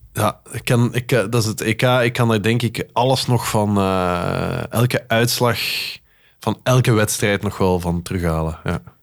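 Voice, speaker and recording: In a normal speaking voice, a man talks at a fairly slow pace with a medium pitch and ordinary pitch variation, on a very clean recording with a silent background. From Netherlands. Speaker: radio and TV presenter, music lover. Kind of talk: casual conversation.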